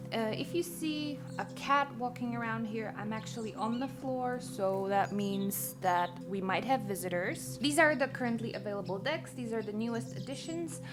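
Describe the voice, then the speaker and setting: Over music in the background, a soft-spoken woman with a fairly low pitch talks with hardly any pauses and very wide pitch swings. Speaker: oracle deck creator and witch. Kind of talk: casual talk to camera. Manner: slow, casual.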